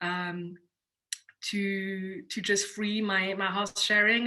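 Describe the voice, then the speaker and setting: With a French accent, a woman speaks at a medium pitch in a bright, sharp tone, her intonation monotone and flat. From Switzerland, Geneva. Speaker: entrepreneur. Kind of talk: panel interview. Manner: halting.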